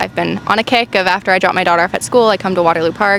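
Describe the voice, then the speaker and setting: There is noticeable background noise here. Against it, a woman talks with ordinary pitch variation. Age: 20s. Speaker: parent and digital artist interviewed on the street. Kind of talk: street interview. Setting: outdoors.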